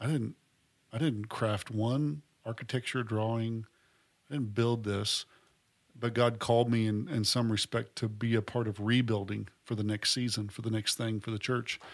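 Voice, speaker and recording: In a normal speaking voice, the speaker keeps a moderate pace and fairly even intonation, recorded very cleanly against a silent background. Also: man, medium pitch for a man. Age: 40s. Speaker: university president and podcast host. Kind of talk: casual chat.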